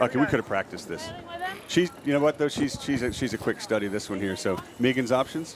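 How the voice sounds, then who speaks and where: A man's very fast, lively speech at a medium pitch, with noticeable background noise. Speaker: sports broadcast host. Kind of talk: live sports commentary. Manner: animated, playful.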